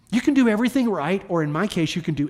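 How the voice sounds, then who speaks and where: The recording is very clean, and the background is silent. The voice has an American accent. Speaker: pastor. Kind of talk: sermon. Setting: church. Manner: informal, humorous.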